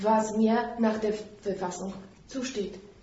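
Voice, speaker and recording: A woman talks very slowly at a fairly high pitch, with audible room echo and noticeable background noise. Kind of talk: public discussion.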